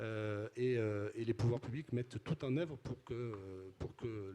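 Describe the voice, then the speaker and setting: In a southern French accent, the voice has a dark, mellow tone and a fairly slow pace. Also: man. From southern France (Midi-Pyrénées / Languedoc-Roussillon). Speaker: company CEO. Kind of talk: interview. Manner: hesitant, many fillers and repetitions.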